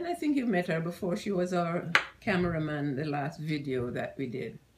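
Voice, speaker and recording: A woman talks at a moderate pace with a fairly low pitch. Noticeable background noise sits behind her voice. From Jamaica. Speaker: grandmother being interviewed. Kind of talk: casual talk to camera. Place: home room.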